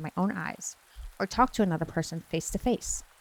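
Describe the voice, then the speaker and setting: A soft-spoken woman talks at a fairly quick pace in a medium pitch. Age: 20s. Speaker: streamer and ASMR story reader. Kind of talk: creepypasta bedtime story reading. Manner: soft-spoken, cozy.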